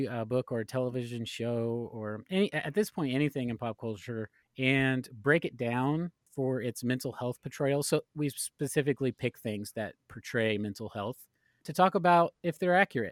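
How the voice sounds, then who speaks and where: The man's delivery is moderate in pace. It's a very clean recording with a silent background and a dry, close sound with no echo. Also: medium pitch for a man, ordinary pitch variation. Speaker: podcast guest, fellow podcast host. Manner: relaxed, conversational.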